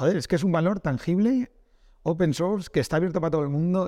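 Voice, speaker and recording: A man with a Castilian accent talks at a fairly quick pace. The recording is very clean with a silent background. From Spain, Castile. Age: 40s. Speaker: esports business executive. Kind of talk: casual interview. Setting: office, in person.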